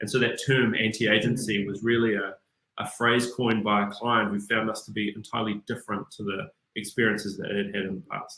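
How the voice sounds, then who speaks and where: A New Zealand accent in a monotone, flat intonation. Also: man, fairly low pitch for a man. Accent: New Zealand (Kiwi). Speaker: business executive. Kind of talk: interview.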